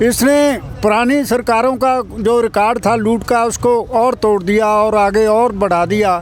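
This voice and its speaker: Crowd noise fills the background as a man talks. His pitch is extremely high, with fairly even intonation. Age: 80s+. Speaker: farmer activist, retired teacher. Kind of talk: interview.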